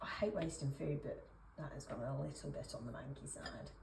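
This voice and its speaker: A woman speaks at a moderate pace. Audible room echo can be heard. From Essex, England. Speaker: cooking vlogger. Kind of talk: casual cooking vlog. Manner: rambling, chatty with frequent fillers.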